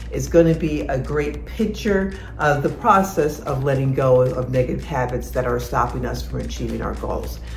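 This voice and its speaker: Music plays in the background as a woman speaks. She keeps a moderate pace. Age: 60s. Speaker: fitness and lifestyle vlogger. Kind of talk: casual talk to camera. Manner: encouraging, motivational.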